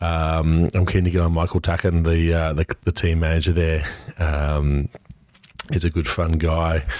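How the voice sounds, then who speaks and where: Noticeable background noise sits behind a man with a very deep, low voice. He talks fairly slowly in a flat monotone at very even loudness. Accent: Australian. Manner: hesitant, many filler words.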